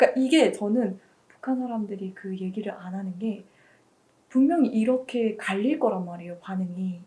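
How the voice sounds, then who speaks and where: Her voice is fairly high, somewhat breathy and dark and mellow in tone. The woman keeps a moderate pace with ordinary pitch variation. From North Korea. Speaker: university student. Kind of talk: interview.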